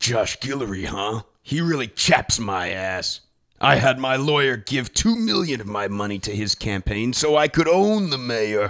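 Here a man talks at a moderate pace. His medium-pitched voice has lively intonation. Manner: arrogant, entitled, dramatic.

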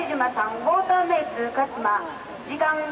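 This woman's high voice shows ordinary pitch variation, with noticeable background noise behind it. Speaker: competition announcer. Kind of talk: formal results announcement. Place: stadium. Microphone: pa.

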